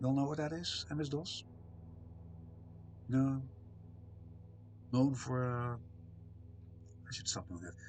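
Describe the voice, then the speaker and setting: A man's somewhat breathy, medium-pitched voice, fairly slow and full of long, frequent pauses, with lively intonation and audible room echo. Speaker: streamer. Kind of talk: casual chat. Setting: live stream. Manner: hesitant, many fillers.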